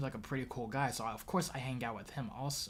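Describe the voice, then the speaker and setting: At a very fast pace, somewhat breathy speech rushes by. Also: man. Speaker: streamer, commentary host. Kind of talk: live stream commentary. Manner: halting, many fillers.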